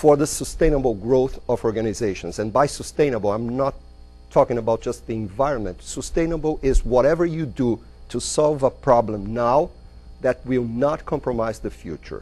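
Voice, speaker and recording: A man with a Brazilian Portuguese accent talks at a moderate pace. His tone is dark and mellow, with vocal fry. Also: medium pitch for a man, ordinary pitch variation. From Brazil, São Paulo. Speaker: business consultant and entrepreneur. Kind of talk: lecture. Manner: halting.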